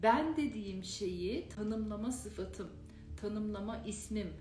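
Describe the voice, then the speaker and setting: A woman with a fairly high pitch talks at a very slow pace, her pitch varying in an ordinary way. Noticeable background noise and audible room echo fill the recording. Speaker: meditation teacher. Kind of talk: live stream talk. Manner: casual, unprepared.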